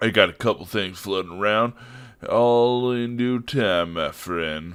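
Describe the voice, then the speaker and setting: A man does a put-on character voice, drawling at a fairly slow pace with medium pitch and ordinary pitch variation. The recording is very clean with a silent background. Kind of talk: comic overacting. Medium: game stream. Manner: brash, condescending, drawling slang.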